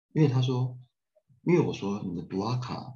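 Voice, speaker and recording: With vocal fry and a dark, mellow tone, a man speaks at a moderate pace in a fairly low pitch that swings very widely. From Taiwan. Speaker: humanitarian aid director and architecture professor. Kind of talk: casual interview chat. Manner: animated.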